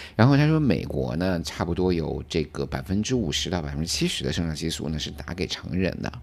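A man with a very deep, low pitch and vocal fry talks with lively intonation and hardly any pauses. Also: fairly quick pace. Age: 40s. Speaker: podcast co-host. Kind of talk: casual chat.

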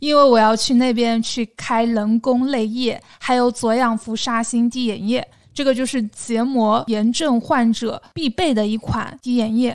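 With a southern Chinese accent, a woman speaks at a fairly slow pace and a fairly high pitch, with fairly even intonation and hardly any pauses, on a very clean recording with a silent background. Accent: southern Chinese accent in Mandarin. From southern China, small city. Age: 30s. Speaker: podcast co-host. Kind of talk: casual chat.

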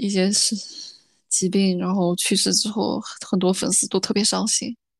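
A woman at medium pitch and a fairly slow pace, dry and close with no echo, against a quiet background. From rural China. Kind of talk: casual chat.

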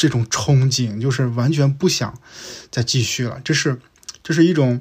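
Somewhat breathy and fairly high-pitched, a man's voice is heard speaking. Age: 40s. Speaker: podcast host, former big-tech operations director. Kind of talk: solo year-end review monologue. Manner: casual, conversational with many fillers.

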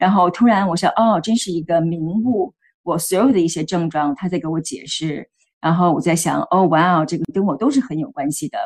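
At a fairly quick pace, a woman with a fairly low voice speaks with lively intonation. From Beijing, China. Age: 40s. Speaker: healthcare worker sharing menopause experience. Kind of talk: interview testimony. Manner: hesitant, many fillers.

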